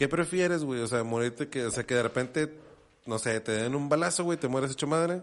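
A man's fairly high voice at a fairly quick pace. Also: ordinary pitch variation. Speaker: podcast co-host. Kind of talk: casual chat.

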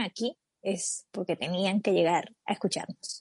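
A medium-pitched woman speaks at a moderate pace in a dark, mellow tone. The sound is dry and close with no echo, over a quiet background. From Colombia. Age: 20s. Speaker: podcast co-host. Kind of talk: casual chat.

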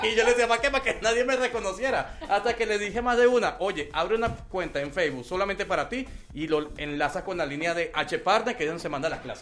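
Noticeable background noise sits behind a man speaking at a very fast pace. His voice is high-pitched with lively intonation. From Venezuela. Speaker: online English teacher. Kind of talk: casual interview chat.

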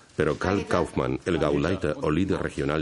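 In a solemn tone, a man with a very deep, low pitch speaks at a moderate pace with ordinary pitch variation. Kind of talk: scripted documentary narration (Spanish dub). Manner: formal, measured, solemn.

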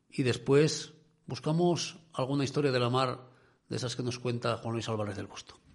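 With vocal fry, a medium-pitched man talks at a moderate pace with ordinary pitch variation. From Asturias (Cudillero). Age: 50s. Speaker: radio host. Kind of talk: radio talk show.

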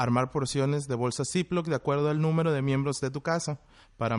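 In a plain, everyday voice, a man talks at a fairly quick pace against a quiet background. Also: dry, close sound with no echo. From Mexico, Monterrey, Nuevo León. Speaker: chef. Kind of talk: explanatory talk, partly read. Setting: video call.

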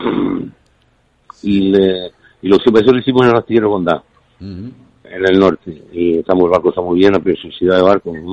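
With long, frequent pauses, a man speaks at a fairly quick pace in a very deep, low pitch with fairly even intonation. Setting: phone call.

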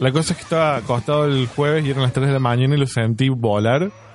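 There is noticeable background noise as a man talks at a fairly quick pace. His pitch is medium, with ordinary pitch variation. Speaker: podcast co-host. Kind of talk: casual chat.

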